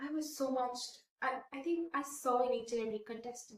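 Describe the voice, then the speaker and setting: A woman's high-pitched voice in an Indian accent, at a moderate pace with ordinary pitch variation. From India, Kota (Rajasthan). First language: Hindi. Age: 20s. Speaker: beauty pageant winner. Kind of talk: interview.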